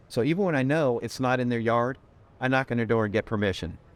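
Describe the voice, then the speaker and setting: With an American accent, a man talks at a very fast pace in a medium pitch with lively intonation. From Connecticut. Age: 60s. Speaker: real estate agent. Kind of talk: interview. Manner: energetic.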